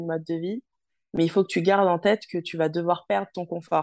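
A woman's unremarkable speaking voice, fairly low in pitch, at a moderate pace with fairly even intonation over a quiet background. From Paris suburbs, France. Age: 20s. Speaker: former hospital worker turned traveler. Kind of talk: interview.

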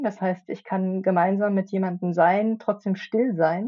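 A woman speaks in a normal speaking voice at a medium pitch. Her pitch varies in an ordinary way. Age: middle-aged. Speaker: podcast co-host and futures researcher. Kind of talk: casual chat.

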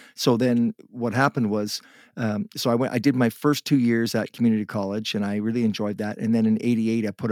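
In a Canadian accent, a man with a fairly low pitch speaks in a monotone, flat way on a very clean recording with a silent background and a dry, close sound with no echo. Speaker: musician. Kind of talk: interview.

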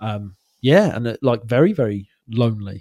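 Pitched at a medium level with ordinary variation, a man's moderate-paced speech comes through on a very clean recording with a silent background. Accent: Welsh. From Wales. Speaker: mental health podcast host. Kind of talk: casual chat.

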